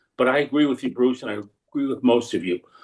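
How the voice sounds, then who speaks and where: The pitch moves in an ordinary way. There is vocal fry in the voice. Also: man. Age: 70s. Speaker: baseball research society member. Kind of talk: casual group discussion.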